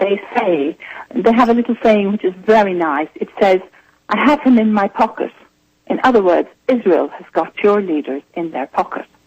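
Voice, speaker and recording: A woman speaks with an Irish accent at a moderate pace. Her intonation is lively. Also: medium pitch for a woman. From Ireland. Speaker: journalist and author. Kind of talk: radio interview.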